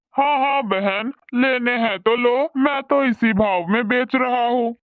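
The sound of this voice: A man's cartoonish character voice at an extremely high pitch and a moderate pace.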